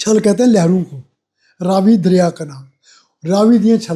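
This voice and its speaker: Here a man speaks with ordinary pitch variation. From Jammu and Kashmir. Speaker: writer and retired administrator. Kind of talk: interview.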